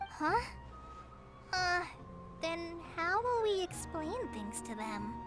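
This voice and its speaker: In a put-on character voice, the speaker talks at a very slow pace with long, frequent pauses over clear music in the background. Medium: video game. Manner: nervous, hesitant.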